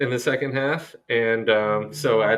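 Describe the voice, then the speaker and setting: This man has an American accent and a medium pitch. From US. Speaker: podcast co-host. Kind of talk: casual chat.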